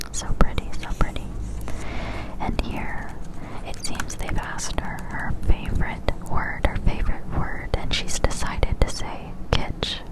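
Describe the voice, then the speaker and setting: Whispering at a fairly slow pace comes through over noticeable background noise. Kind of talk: ASMR whisper reading and commentary to camera. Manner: whispered, soft, intimate.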